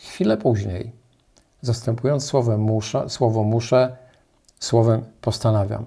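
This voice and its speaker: This man's voice sits at a medium pitch, with a dark, mellow tone. It is somewhat breathy, and his intonation stays fairly even. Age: 60s. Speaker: life coach. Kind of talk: motivational talk.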